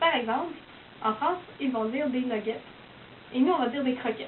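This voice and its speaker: A woman with a Quebec accent speaks at a high pitch and a fairly quick pace. Noticeable background noise is present. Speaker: university student. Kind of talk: casual explanatory monologue.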